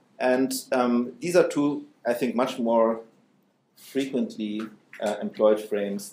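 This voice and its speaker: Heard with audible room echo and light background noise, a man's dark, mellow voice shows ordinary pitch variation. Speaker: philosophy professor. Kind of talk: academic panel talk. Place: hall.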